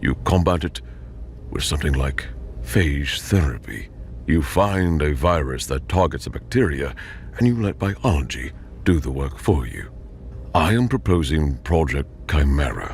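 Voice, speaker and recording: A man's soft-spoken, resonant put-on character voice at a moderate pace, with long, frequent pauses and clear background noise. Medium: read story. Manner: clinical, detached.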